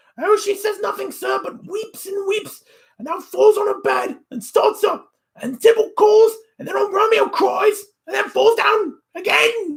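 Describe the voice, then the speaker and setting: At a moderate pace, a man speaks in a put-on character voice with an extremely high pitch. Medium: read story. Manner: emotional, repetitive.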